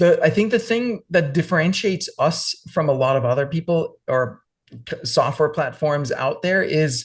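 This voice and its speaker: A man's fairly high voice at a moderate pace, with lively intonation against a quiet background. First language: not English. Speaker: entrepreneur, software founder. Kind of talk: podcast interview.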